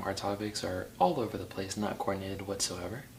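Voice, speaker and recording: A man with a fairly low pitch talks at a fairly quick pace, with audible room echo and noticeable background noise. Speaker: podcast co-host. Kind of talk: casual chat. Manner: stutters at times.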